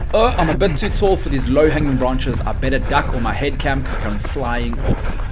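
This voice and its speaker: Noticeable background noise and audible room echo surround a man's voice. He talks at a moderate pace with hardly any pauses. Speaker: running vlogger and coach. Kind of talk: voiceover narration of race footage. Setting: outdoors. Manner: energetic.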